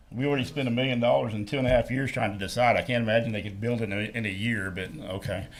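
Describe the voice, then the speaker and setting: With audible echo from the room, a man talks very fast at a medium pitch. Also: ordinary pitch variation. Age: 60s. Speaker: resident at public comment. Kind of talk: public meeting comment. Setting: city council meeting.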